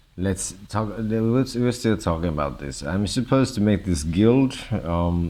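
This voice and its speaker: The speaker is a man with a very deep, low pitch. His tone is dark and mellow. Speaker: gamer vlogger. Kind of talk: monologue vlog. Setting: hospital room. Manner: halting, stammering; loud.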